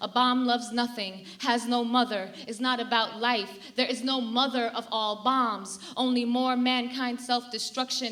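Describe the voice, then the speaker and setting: A woman speaks in a high voice at a fairly slow pace. Her intonation is flat and monotone, with noticeable background noise. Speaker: poet. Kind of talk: live spoken-word poetry performance. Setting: theater stage, live audience.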